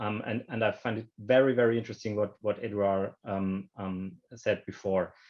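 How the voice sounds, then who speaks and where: Over a quiet background, a speaker with a German accent keeps a fairly even intonation at a moderate pace. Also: man. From Germany. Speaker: banking industry panelist. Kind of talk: panel discussion. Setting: online video call. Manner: halting, many repetitions and fillers.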